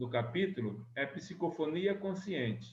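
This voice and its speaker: Amid audible room echo, a soft-spoken man talks at a very slow pace with lively intonation. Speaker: spiritist study group leader. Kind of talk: study group lecture.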